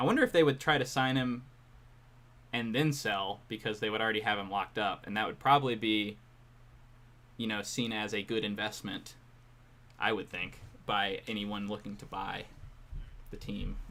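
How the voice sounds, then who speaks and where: Quiet and bright with a sharp tone, a man speaks at a fairly low pitch and moderate pace with fairly even intonation. He leaves long, frequent pauses. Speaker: baseball streamer. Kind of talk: live watch-along commentary. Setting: live stream, headphones around head. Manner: mumbling at times.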